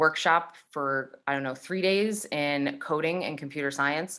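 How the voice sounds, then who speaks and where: The woman's pitch is very deep and low, with a bright, sharp tone. Her intonation stays fairly even. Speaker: computer science teacher. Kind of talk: tutorial. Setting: video call.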